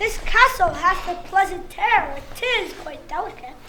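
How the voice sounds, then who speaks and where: Putting on a character voice, a woman speaks at a fairly slow pace in an extremely high pitch with lively intonation, over clear background noise. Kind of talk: community stage Shakespeare. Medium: stage play. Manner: gracious.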